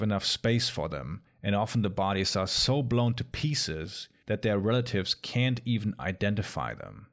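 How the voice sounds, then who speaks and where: A man speaks at medium pitch and a moderate pace. His tone is dramatic and solemn. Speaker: podcast host. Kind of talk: history documentary narration. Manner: grave, measured storytelling delivery; dramatic, solemn tone for violent events.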